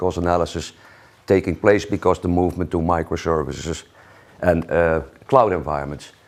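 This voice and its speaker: A man talks with a Dutch accent. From Netherlands. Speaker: solutions engineer. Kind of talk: conference talk.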